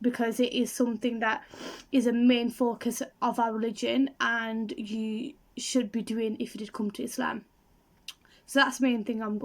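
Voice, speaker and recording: A woman talks with a fairly high pitch. Her intonation stays flat and monotone. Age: young. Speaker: YouTuber. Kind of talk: vlog talk to camera.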